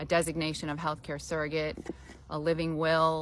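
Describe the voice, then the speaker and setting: At a moderate pace, a woman speaks with vocal fry and a very deep, low pitch. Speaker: elder law attorney. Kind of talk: informal explainer talk. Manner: conversational, many filler ums.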